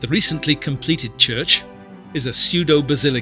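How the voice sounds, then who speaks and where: Music plays in the background while a man talks. His pitch is fairly high, with ordinary variation. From Britain. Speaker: actor and musician, documentary narrator. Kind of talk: documentary narration.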